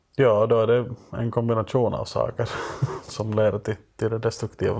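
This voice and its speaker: A man talks in a flat monotone, with noticeable background noise behind him. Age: 30s. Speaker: writer and critic. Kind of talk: casual chat. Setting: basement room.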